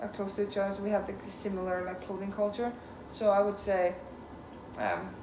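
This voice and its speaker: Someone with an Icelandic accent talks at a fairly quick pace in a monotone, flat intonation, with long, frequent pauses. Audible room echo and noticeable background noise surround the voice. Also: woman, medium pitch for a woman. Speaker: interviewee, student. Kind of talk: casual interview. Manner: hesitant, many fillers.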